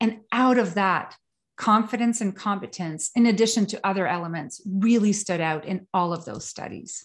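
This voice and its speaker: Moderate pace over a quiet background. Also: woman, medium pitch for a woman, ordinary pitch variation. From Quebec, Canada. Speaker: trauma specialist and consultant. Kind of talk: casual interview.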